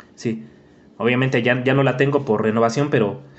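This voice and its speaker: Words rush out from a man at a very fast pace. The pitch varies in an ordinary way. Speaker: podcast host. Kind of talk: casual chat.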